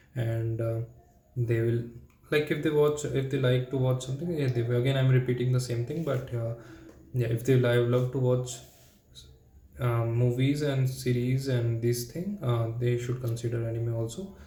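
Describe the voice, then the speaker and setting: Man's medium-pitched voice with fairly even intonation, at a moderate pace, in audible room echo. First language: not English. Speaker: language learner vlogger. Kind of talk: solo practice monologue. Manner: halting.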